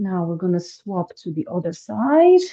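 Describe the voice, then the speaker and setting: A woman's somewhat breathy, dark, mellow voice at a medium pitch, with lively intonation. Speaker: fitness instructor. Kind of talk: guided exercise class.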